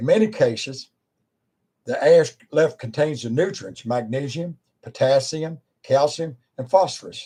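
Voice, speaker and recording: Somewhat breathy and dark, mellow in tone, a man with an American accent speaks in a fairly high pitch with lively intonation, at a fairly slow pace marked by long, frequent pauses. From Virginia, US. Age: 70s. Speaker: preacher and former wildland firefighter. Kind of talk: informal talk to camera.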